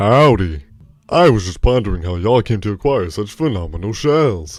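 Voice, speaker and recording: A man does a put-on character voice at a fairly low pitch. He speaks at a moderate pace on a very clean recording with a silent background. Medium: audio drama. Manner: folksy, earnest.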